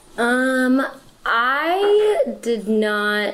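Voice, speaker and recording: Lively intonation marks this woman's speech, with noticeable background noise. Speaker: production manager and voice actor. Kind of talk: casual interview chat.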